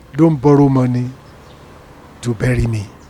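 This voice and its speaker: Music can be heard in the background. A man talks over it at a fairly slow pace. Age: 80s+. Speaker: retired appeal court judge. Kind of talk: interview answer.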